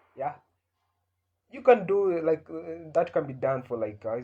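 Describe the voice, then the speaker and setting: A man with an East African accent speaks with very wide pitch swings. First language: Swahili. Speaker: comedian. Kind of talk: casual monologue. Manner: halting, many fillers.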